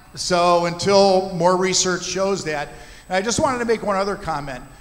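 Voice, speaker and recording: A man talks at a very fast pace with a high pitch. The room echo is audible. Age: 60s. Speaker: physician, panel moderator. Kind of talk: panel discussion. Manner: candid, conversational.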